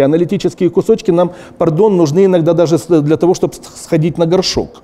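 The man's pitch is high. He talks at a fairly quick pace. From Ukraine. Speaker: TV journalist, artist and politician; TV journalist, politician. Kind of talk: casual interview talk. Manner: halting, with many filler words. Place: studio.

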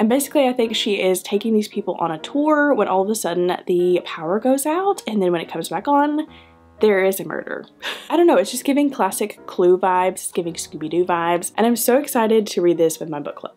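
A woman speaks at a fairly quick pace while faint music plays in the background. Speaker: book video host. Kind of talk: casual vlog chat. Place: home room.

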